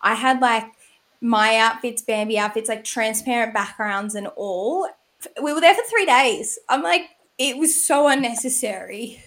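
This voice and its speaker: A woman's fairly high, lively voice, a plain, everyday voice, at a fairly slow pace. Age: 20s. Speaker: podcast host. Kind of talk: casual chat.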